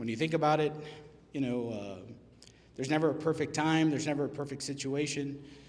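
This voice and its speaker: Over noticeable background noise and audible room echo, a man with an American accent talks fairly quickly at a fairly high pitch with ordinary pitch variation. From Texas, Laredo. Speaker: restaurant business owner. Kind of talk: business presentation. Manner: casual, halting with fillers.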